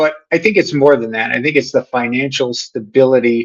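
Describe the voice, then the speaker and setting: A man talks at a medium pitch in an unremarkable speaking voice. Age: 60s. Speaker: podcast host. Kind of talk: solo podcast monologue. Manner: casual, with many fillers.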